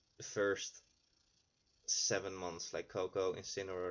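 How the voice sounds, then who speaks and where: Speaking at a very slow pace, a man with a non-native accent talks in a very deep, low voice. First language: not English. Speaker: gaming YouTuber. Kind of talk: gameplay commentary. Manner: halting.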